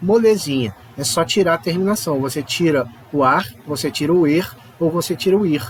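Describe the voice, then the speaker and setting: Noticeable background noise sits under this recording. A man speaks with a fairly high pitch and lively intonation. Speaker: Spanish teacher. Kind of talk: online lesson. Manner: casual, animated.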